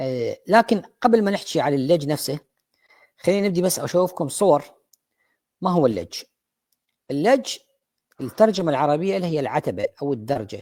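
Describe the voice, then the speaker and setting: In an Iraqi accent, a man speaks at a moderate pace with a fairly high pitch, a dark, mellow tone, very wide pitch swings and long, frequent pauses, recorded dry and close with no echo on a very clean, silent background. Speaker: dentist lecturer. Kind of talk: lecture. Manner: halting, many fillers.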